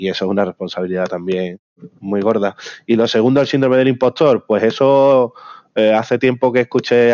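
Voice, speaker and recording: A man's fairly low, dark, mellow voice with ordinary pitch variation, at a fairly quick pace, in a dry, close sound with no echo. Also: quiet background. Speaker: software company founder. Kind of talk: interview.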